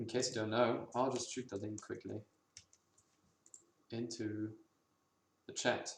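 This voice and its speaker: A man speaks at medium pitch in a monotone, flat intonation, his voice somewhat breathy. He leaves long, frequent pauses. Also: fairly slow pace. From Germany, Berlin. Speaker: indie game developer, livestreamer. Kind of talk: casual livestream chat.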